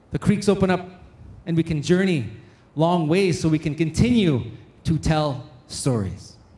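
In a room with audible echo, a man speaks with a high pitch and a dark, mellow tone. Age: 40s. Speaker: conference emcee and storyteller. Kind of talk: emcee announcements and closing remarks. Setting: stage with audience. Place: hall. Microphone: handheld.

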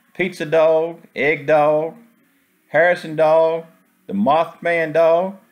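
A man talks at a very slow pace with fairly even intonation. The background is quiet. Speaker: food vlogger. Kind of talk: casual vlog commentary. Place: cafe. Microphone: phone near.

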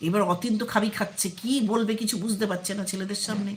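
A woman with a medium-pitched voice speaks at a fairly quick pace and fairly even intonation. Audible room echo surrounds her.

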